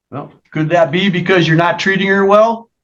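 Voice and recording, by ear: The voice has a fairly bright tone and ordinary pitch variation at a moderate pace. Audible room echo surrounds it. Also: man, high pitch for a man.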